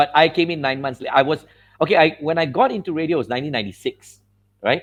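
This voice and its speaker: A man speaks at a very fast pace. His voice is fairly high, with ordinary pitch variation. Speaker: veteran radio DJ and announcer. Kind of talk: casual interview answers, reminiscing about his radio career.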